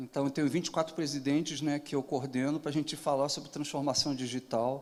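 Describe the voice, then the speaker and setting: Speaking with a southern Brazilian accent, a man keeps his intonation fairly even. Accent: gaúcho. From southern Brazil (Rio Grande do Sul). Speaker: digital transformation consultant and interviewer. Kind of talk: panel moderation at event.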